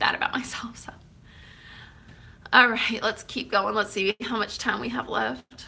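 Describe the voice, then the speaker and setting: A woman with an American accent and vocal fry speaks fairly slowly at a fairly high pitch, in a bright, sharp tone with ordinary pitch variation. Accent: Oklahoma accent, people remark on it. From Oklahoma, Tulsa. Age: 30s. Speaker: YouTuber. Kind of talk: casual Q&A vlog. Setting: eating cake while talking.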